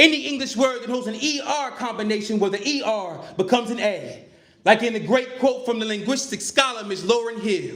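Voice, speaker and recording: With audible room echo and noticeable background noise, a man with an extremely high pitch talks at a moderate pace. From Chicago, South Side. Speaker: performance poet. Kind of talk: spoken word performance. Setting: stage with audience. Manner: rhythmic, emphatic.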